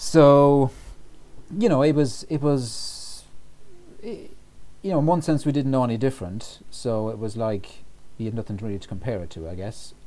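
In an Irish accent, a man with a medium-pitched, dark, mellow voice speaks at a moderate pace with lively intonation, big swings in loudness, and long, frequent pauses. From Ireland, County Roscommon (west/Midlands). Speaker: writer and historian. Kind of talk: interview about mental health. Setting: podcast recording. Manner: halting, many fillers.

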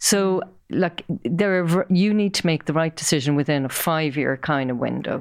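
At a moderate pace and with ordinary pitch variation, the voice comes through in a very clean recording with a silent background. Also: woman. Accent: Irish. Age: 50s. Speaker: property marketing executive. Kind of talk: interview.

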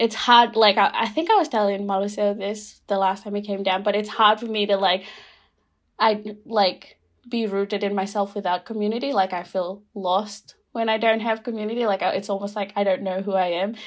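Over a quiet background, a woman with a Fijian accent talks at a fairly quick pace, her medium pitch carrying fairly even intonation. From Rotuma, Fiji. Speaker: podcast guest. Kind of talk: casual chat. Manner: hesitant, many fillers.

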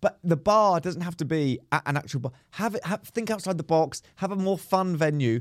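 In an English accent, a man talks at a high pitch with ordinary pitch variation, the sound dry and close with no echo. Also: moderate pace. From England. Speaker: comedian and podcast co-host. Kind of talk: casual chat. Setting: recording at a comedy venue, outdoors nearby.

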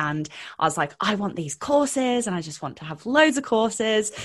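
The pace is moderate. A woman talks with a British accent. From UK. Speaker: confidence and mindset coach. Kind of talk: casual interview chat.

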